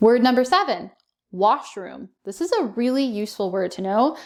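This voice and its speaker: Speaking with a Canadian accent, a woman has an unremarkable speaking voice and lively intonation. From Canada. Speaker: English teacher. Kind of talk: educational talk to camera. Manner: upbeat.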